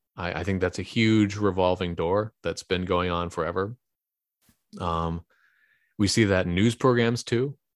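In a very clean recording with a silent background and a dry, close sound with no echo, a man with a very deep, low pitch speaks at a fairly slow pace in a Californian accent. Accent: Californian American. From San Francisco Bay Area, California. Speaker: congressional candidate. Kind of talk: interview. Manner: hesitant, many fillers.

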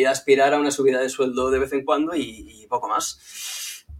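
A man talks at a fairly slow pace with fairly even intonation, noticeable background noise behind him. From Spain, Barcelona. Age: 30s. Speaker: visual communication creator. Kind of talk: casual interview chat. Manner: halting, repeats words.

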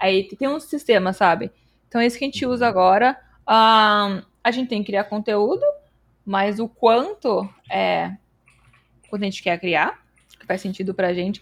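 A woman with a medium pitch and ordinary pitch variation at a moderate pace, with long, frequent pauses, in a very clean recording with a silent background. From Brazil, São Paulo state. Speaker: developer relations engineer and streamer. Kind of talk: casual interview chat.

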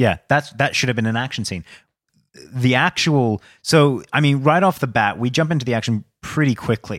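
Using an ordinary speaking voice, a man of medium pitch speaks at a moderate pace with ordinary pitch variation. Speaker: podcast co-host, movie reviewer. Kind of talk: casual chat, movie review.

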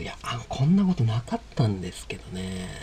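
Against noticeable background noise, a man's voice rises and falls with ordinary pitch variation. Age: 30s. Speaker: podcast host, coffee vendor. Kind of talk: casual monologue. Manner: halting.

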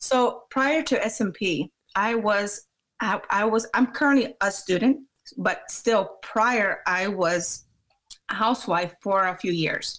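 Very slow pace from a woman with a fairly high pitch, ordinary pitch variation and an American accent. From Maryland, US. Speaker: scalp micropigmentation practitioner. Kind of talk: interview.

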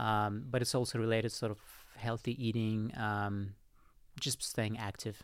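In a Russian accent, a man speaks with flat, monotone intonation. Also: medium pitch for a man, moderate pace. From Russia (Moscow). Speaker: entrepreneur and writer. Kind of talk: casual interview. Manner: halting.

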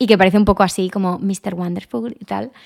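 A woman with a normal speaking voice talks at a moderate pace and medium pitch with fairly even intonation, in a dry, close sound with no echo and a very clean recording, silent background. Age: 20s. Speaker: lifestyle podcaster. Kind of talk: casual monologue.

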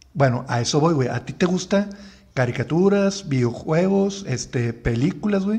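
A man speaks with a Mexican accent at a fairly slow pace, his pitch high for a man. His tone is dark and mellow, and his intonation is lively. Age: 30s. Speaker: podcast host. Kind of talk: casual chat.

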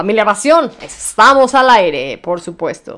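Speaking at a fairly slow pace, a woman uses an animated tone and lively intonation. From Mexico City. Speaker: radio show host. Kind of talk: casual radio chat.

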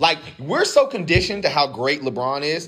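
Over noticeable background noise, a man with an American accent talks in an animated tone with very wide pitch swings. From US South, Durham, North Carolina. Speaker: podcast co-host. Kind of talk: casual chat.

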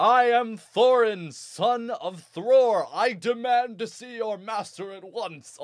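Using a put-on character voice pitched extremely high, a man talks at a fairly slow pace with hardly any pauses. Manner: demanding, pompous.

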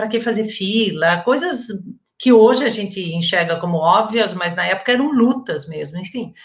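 Lively in intonation, a woman with an ordinary speaking voice talks at a moderate pace and fairly high pitch. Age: 50s. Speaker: retired education professor. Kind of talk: interview. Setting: online live stream.

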